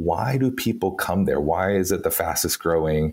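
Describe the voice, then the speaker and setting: A man with a Texan accent, in a very clean recording over a silent background. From Texas. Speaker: PR strategist.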